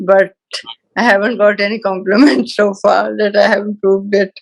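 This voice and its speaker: A woman at medium pitch, an ordinary speaking voice, moderate pace. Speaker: study circle participant. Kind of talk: group discussion.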